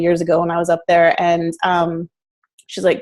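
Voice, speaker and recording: With an American accent, a woman talks in a fairly low register. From Northern California. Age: 40s. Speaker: food blogger and entrepreneur. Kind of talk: interview. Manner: casual, many fillers.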